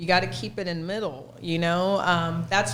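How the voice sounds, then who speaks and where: Audible room echo surrounds a woman with an American accent who speaks at a moderate pace in a fairly low pitch. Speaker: fitness trainer. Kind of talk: casual podcast chat. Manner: animated.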